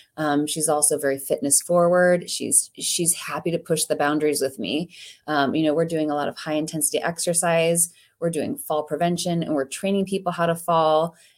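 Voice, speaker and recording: With a Midwestern American accent, a woman speaks at a fairly quick pace with a fairly low pitch and fairly even intonation on a very clean recording with a silent background. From US Midwest, Ohio. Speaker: physical therapist and business owner. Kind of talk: interview.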